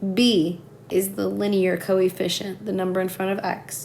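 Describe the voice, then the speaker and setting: A woman of medium pitch talks fairly slowly with fairly even intonation, with audible room echo and noticeable background noise. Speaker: math teacher. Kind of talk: tutorial.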